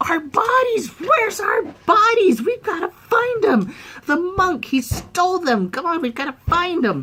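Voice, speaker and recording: At a moderate pace, someone delivers a put-on character voice pitched extremely high. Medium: solo performance. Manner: hungry, menacing.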